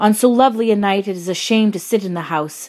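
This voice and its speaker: A woman with a normal speaking voice talks at a fairly quick pace. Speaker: actress reading aloud. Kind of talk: audiobook reading of a classic novel.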